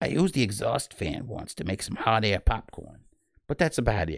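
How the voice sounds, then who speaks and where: A man puts on a whiny, nasal character voice at a medium pitch and a moderate pace. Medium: read story.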